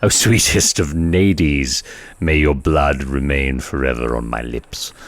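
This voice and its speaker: Delivered at a fairly slow pace, this is a put-on character voice. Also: man, very deep, low pitch for a man. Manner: theatrical, dramatic.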